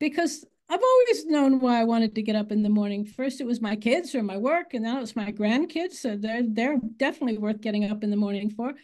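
Over a quiet background, a woman talks with a somewhat breathy, fairly high voice and ordinary pitch variation. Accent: American. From United States. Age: 80s+. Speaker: author. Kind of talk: interview.

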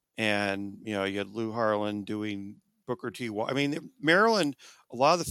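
In an American accent, a man with a plain, everyday voice talks at a fairly quick pace and medium pitch, with ordinary pitch variation and a dry, close sound with no echo. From Southern California, Orange County. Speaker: history professor. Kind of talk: interview.

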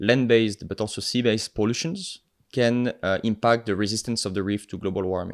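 On a very clean recording with a silent background, a man with a fairly low pitch speaks at a fairly quick pace with fairly even intonation. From France, the Alps. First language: French. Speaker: marine biologist, PhD student and nonprofit co-founder. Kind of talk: podcast interview.

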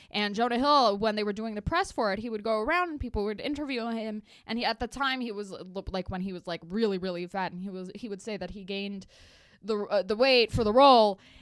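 In an Eastern European accent, a woman speaks at a very fast pace. Her pitch is fairly high, with ordinary variation. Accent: Eastern European-sounding English, legit. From Los Angeles, US. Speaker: comedian. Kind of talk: casual chat.

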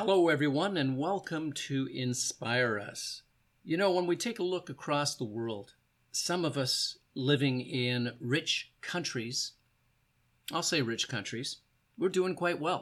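This man has an ordinary speaking voice, fairly high in pitch, with lively intonation at a fairly slow pace. The recording is very clean, with a silent background. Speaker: podcast host and motivational speaker. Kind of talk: interview. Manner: warm, encouraging.

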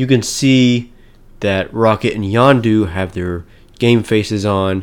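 On a very clean recording with a silent background, a man with a fairly low pitch and ordinary pitch variation speaks at a very slow pace. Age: 20s. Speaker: podcast host. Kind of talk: solo commentary podcast. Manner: hesitant with many fillers.

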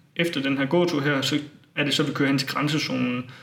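A man's fairly high voice at a moderate pace, over noticeable background noise. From Denmark, Funen (Bogense). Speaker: student and tour organizer. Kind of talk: interview. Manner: hesitant, many fillers.

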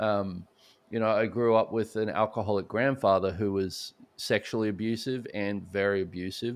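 A man with an Australian accent, fairly low in pitch, at a moderate pace with fairly even intonation, against a quiet background. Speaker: speaker and author on addiction recovery. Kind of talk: podcast interview.

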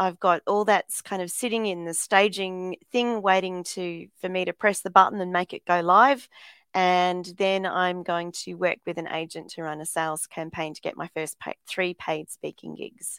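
In an Australian accent, a woman at medium pitch speaks at a moderate pace with hardly any pauses, fairly even intonation and big swings in loudness, in a dry, close sound with no echo. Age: 50s. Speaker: motivational speaker. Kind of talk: interview.

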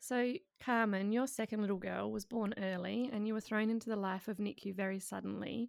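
A woman's medium-pitched voice with an Australian accent and fairly even intonation. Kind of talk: casual interview chat.

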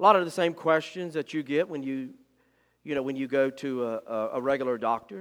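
Ordinary pitch variation and a fairly quick pace mark this voice on a very clean recording with a silent background. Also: man, fairly high pitch for a man. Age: 40s. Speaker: pastor. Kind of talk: sermon. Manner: halting.

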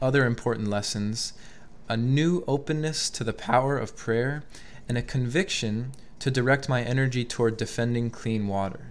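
A man with an American accent, fairly even intonation, and audible room echo. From Albany, New York. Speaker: podcast host. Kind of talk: interview; scripted narration. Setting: temple.

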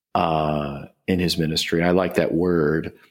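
On a very clean recording with no background sound, a man talks. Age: 60s. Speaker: pastor and author. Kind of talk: interview. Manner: halting.

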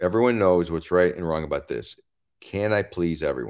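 A man talks with lively intonation. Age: 60s. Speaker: comedian. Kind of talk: casual chat. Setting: video call.

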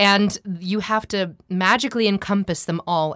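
A woman speaks in a General American accent. The recording is very clean, with a silent background. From US West Coast, Seattle. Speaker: voice coach and voiceover artist. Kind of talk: interview. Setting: studio.

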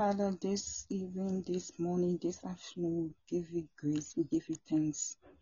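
At a fairly slow pace, a woman talks in a fairly low pitch with ordinary pitch variation. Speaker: prayer participant leading closing prayer. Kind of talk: earnest intercessory closing prayer. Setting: joining remotely by phone or online call. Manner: fervent, repetitive petitions with spiritual-warfare declarations; halting, with sighs and restarts.

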